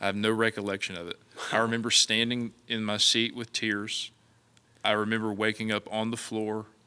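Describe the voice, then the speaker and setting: Speaking in an Appalachian accent at a moderate pace, a man has a bright, sharp tone and monotone, flat intonation. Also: fairly low pitch for a man. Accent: Appalachian American. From West Virginia. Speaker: evangelist. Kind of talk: interview.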